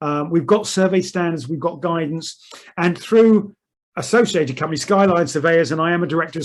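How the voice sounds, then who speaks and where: A man with a British accent talks at a fairly quick clip, his fairly high voice keeping a fairly even intonation. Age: 60s. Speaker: chairman of a surveyors' association. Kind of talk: webinar presentation.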